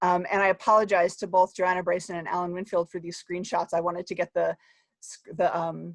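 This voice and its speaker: A woman's fairly low, monotone voice with flat intonation at a fairly quick pace, in a New Jersey accent, with a dry, close sound with no echo and a quiet background. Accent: New Jersey American. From US, New Jersey. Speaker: academic researcher. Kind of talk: conference talk. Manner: fast.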